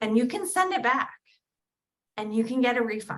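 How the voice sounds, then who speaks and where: A woman with a New Jersey accent speaks in a high pitch, her tone animated and her intonation lively. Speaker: direct sales recruiter. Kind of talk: sales pitch. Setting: video call livestream.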